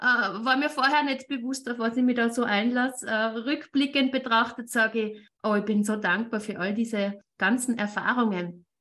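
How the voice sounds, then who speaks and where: A woman with a bright, sharp tone and a fairly high pitch speaks at a moderate pace, with fairly even intonation and hardly any pauses. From Austria. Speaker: networking entrepreneur and interview show host. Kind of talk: casual interview chat.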